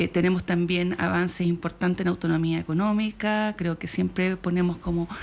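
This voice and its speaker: In a fairly low pitch, a woman speaks in a monotone, flat intonation with hardly any pauses. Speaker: government official. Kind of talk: radio interview. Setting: radio studio. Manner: fast; hesitant, many fillers. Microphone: far from mic, moved closer.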